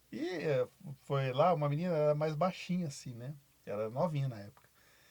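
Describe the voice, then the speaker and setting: Somewhat breathy, a man speaks at a fairly high pitch and a fairly quick pace with ordinary pitch variation. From Brazil, São Paulo interior. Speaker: basketball coach. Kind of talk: podcast interview.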